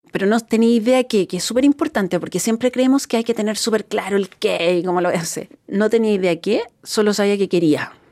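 A woman speaks at a very fast pace with hardly any pauses. Her tone is dark and mellow, her pitch fairly high with ordinary variation. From Chile. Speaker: entrepreneur. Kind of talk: interview testimony.

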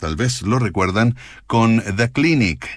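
With a Chilean accent, a man talks at a medium pitch on a very clean recording with a silent background. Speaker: radio host. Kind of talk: radio music show presentation.

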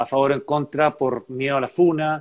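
A man with a Chilean accent at a fairly quick pace. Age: 40s. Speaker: political candidate. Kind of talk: interview. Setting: video call.

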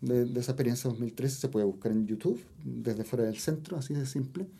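Somewhat breathy and at a medium pitch, a man talks at a fairly quick pace. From Los Andes, central Chile. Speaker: composer and music teacher. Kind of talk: interview about music.

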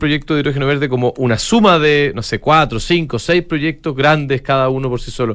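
A man talks at a fairly quick pace with hardly any pauses. He has a fairly high pitch and an unremarkable speaking voice. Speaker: financial radio host. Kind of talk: casual chat.

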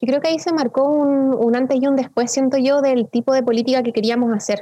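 A woman speaks with a high pitch. Her tone is dark and mellow. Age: 20s. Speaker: politician. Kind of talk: interview.

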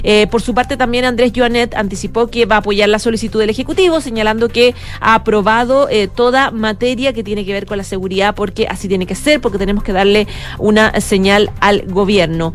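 The speaker moves at a fairly quick pace with ordinary pitch variation, and noticeable background noise is present. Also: woman, fairly high pitch for a woman. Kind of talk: news reading.

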